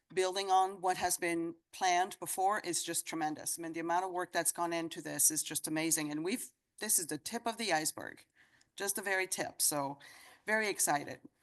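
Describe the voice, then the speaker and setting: The background is quiet as a woman speaks at a fairly quick pace. Her pitch is fairly low, and her intonation is fairly even. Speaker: association president. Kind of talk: meeting announcements. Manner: fast.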